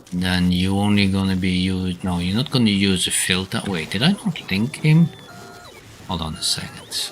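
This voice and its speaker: With music in the background, a man talks at a moderate pace. His pitch is very deep and low, with ordinary variation. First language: German. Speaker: video game streamer. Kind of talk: live gameplay stream chat.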